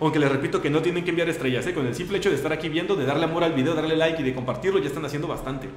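Speech comes at a very fast pace with ordinary pitch variation. Music plays behind it, and there is audible room echo. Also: man. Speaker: radio host. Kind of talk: casual chat. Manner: halting.

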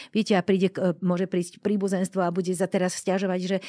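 A woman at medium pitch talks very fast with a dark, mellow tone and monotone, flat intonation, the sound dry and close with no echo. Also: very clean recording, silent background. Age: 60s. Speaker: end-of-life doula. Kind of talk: interview.

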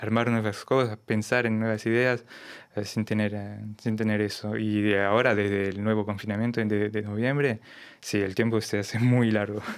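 Fairly even intonation carries speech at a moderate pace. Behind it, things are quiet. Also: man. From France, Lyon; France. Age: 30s. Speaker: tango bandoneon player; guest. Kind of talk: interview. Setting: radio studio. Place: studio. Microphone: studio mic.

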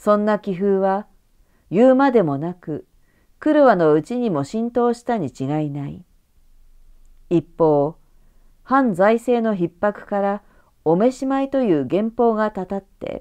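Long, frequent pauses break up a woman's speech, her medium pitch making very wide swings in a dark, mellow tone. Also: fairly slow pace. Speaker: narrator. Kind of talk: audiobook reading.

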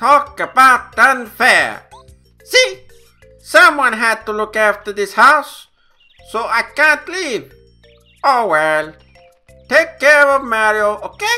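Over faint music in the background, a put-on character voice moves at a fairly slow pace with lively intonation and long, frequent pauses. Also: man, extremely high pitch for a man. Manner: excitable, whiny.

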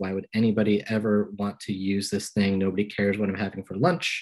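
A man at a fairly quick pace, against a quiet background. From Pennsylvania, US. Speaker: journalist. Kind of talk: lecture. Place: home room. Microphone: video call.

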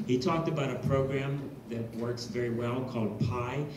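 A man talks at a moderate pace with a monotone, flat intonation. Light background noise and audible room echo are present. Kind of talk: meeting report. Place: hall.

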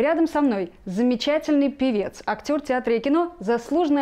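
Against a quiet background, a woman speaks in a dark, mellow tone with lively intonation. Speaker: interviewer. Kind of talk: studio interview. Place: studio.

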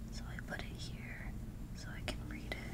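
Over loud background noise, a woman speaks at a fairly slow pace. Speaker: ASMR creator. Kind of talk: ASMR show-and-tell talk to camera. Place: home room. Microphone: earbuds.

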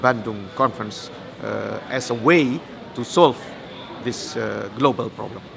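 A man speaks at a fairly slow pace while noticeable background noise carries on behind him. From Indonesia. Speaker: conference organizer and historian. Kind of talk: interview. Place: hall.

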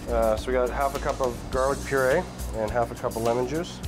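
Clear music plays in the background as the speech moves at a moderate pace. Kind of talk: cooking show tutorial. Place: kitchen.

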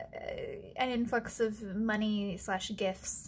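A woman speaks in a somewhat breathy voice with ordinary pitch variation. Light background noise can be heard. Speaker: stationery vlogger. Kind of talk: casual vlog chat. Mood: cheerful, chatty.

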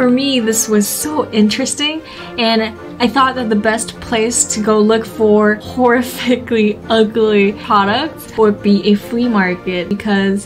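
Clear music plays behind a woman's voice. She talks at a fairly slow pace with fairly even intonation. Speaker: fashion vlogger. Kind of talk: casual vlog chat. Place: home room. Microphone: phone near.

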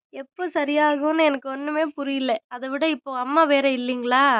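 With ordinary pitch variation, a woman speaks in a high voice. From Tamil Nadu. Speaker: vlogger, mother. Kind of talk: casual vlog narration. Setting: at home and outdoors in village.

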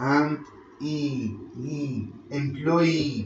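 A man at a fairly high pitch with ordinary pitch variation, amid noticeable background noise. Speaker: English language teacher. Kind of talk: lecture. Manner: halting, code-switching between English and Arabic.

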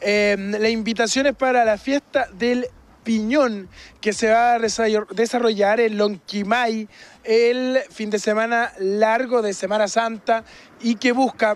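A man speaks very slowly in a high pitch for a man, his intonation monotone and flat. The sound is dry, with no echo. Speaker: TV reporter. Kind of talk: news report. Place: street. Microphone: handheld.

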